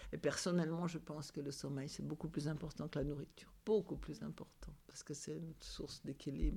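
A woman's very deep, low pitch with vocal fry and a dark, mellow tone, ordinary pitch variation and a moderate pace. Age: 70s. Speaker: building caretaker. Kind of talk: casual chat. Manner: halting.

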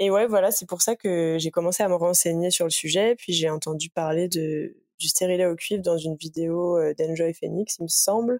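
A woman with a fairly low voice speaks at a moderate pace, with hardly any pauses and fairly even intonation. The sound is dry and close, with no echo. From Île-de-France, near Paris. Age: 20s. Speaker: interviewee sharing personal health experience. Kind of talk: casual chat. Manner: hesitant, many fillers.

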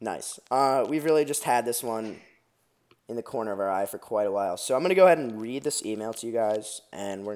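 In a plain, everyday voice, a man with an American accent speaks at a medium pitch with ordinary pitch variation and big swings in loudness. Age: 20s. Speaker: podcast co-host. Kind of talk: casual chat. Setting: studio.

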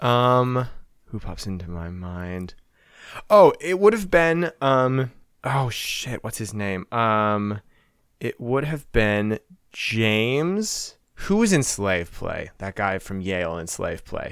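Speaking at a very slow pace with an American accent, a man uses very wide pitch swings and big swings in loudness. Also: medium pitch for a man. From Texas and Wisconsin. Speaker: podcast guest. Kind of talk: casual chat. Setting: remote recording.

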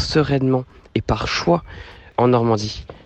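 A man talks at a very slow pace with a medium pitch and ordinary pitch variation. Noticeable background noise is present. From Normandy, France (Rouen). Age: 30s. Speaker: returning expatriate. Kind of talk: interview.

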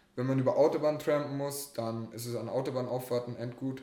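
Amid noticeable background noise and audible room echo, a man talks at a fairly quick pace with a medium pitch and monotone, flat intonation. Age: 20s. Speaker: hitchhiker. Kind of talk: casual interview.

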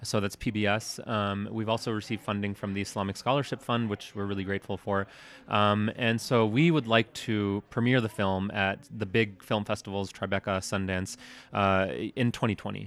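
In a plain, everyday voice, a man with an American accent speaks at a fairly low pitch and a moderate pace with fairly even intonation. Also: very clean recording, silent background. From US Midwest, Detroit. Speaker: documentary filmmaker. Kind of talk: interview. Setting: film festival.

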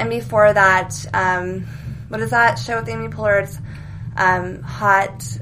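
A woman with an American accent talks at a fairly slow pace in a very deep, low pitch, with very wide pitch swings and big swings in loudness. Long, frequent pauses break up her speech, and the room echo is audible. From US West Coast, Silicon Valley. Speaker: actress. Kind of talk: casual chat. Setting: studio.

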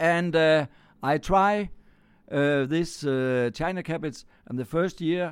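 A man with a Danish accent and ordinary pitch variation. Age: 60s. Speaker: farmer. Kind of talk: interview. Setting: on a farm. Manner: halting.

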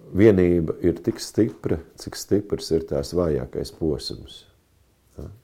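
Pitched very deep and low, a man speaks with vocal fry and a dark, mellow tone, his loudness swinging widely and his pitch varying in an ordinary way. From Latvia, Kurzeme (Kuldīga). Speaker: pastor and military chaplain. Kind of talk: interview. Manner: hesitant, many fillers.

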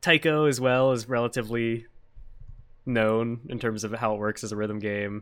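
A man speaks with a General American accent at a moderate pace, his pitch medium. His intonation stays fairly even in an unremarkable speaking voice. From United States. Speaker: podcast host. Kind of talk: casual interview. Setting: live stream.

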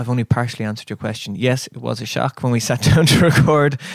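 A man's medium-pitched voice, fairly even in intonation, over noticeable background noise. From Ireland, raised in Dublin and Killarney, Kerry. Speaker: singer-songwriter. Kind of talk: casual interview. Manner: halting.

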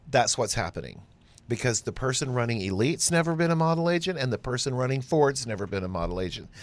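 On a very clean recording with a silent background, a man at a medium pitch talks very fast with lively intonation. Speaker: podcast co-host, former modeling agent. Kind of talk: casual chat.

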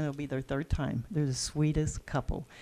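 Dark and mellow in tone, a woman speaks at a fairly quick pace. The recording is very clean with a silent background. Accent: Texan. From Texas. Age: 60s. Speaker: bed and breakfast and event venue owner. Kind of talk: casual interview conversation.

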